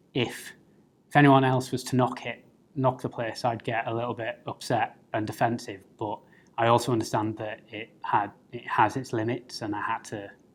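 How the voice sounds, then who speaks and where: With a slight North East English accent, a man speaks at a moderate pace and medium pitch. His intonation is monotone and flat. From North East England, Middlesbrough. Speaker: political candidate. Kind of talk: personal interview talk. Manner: hesitant, many fillers.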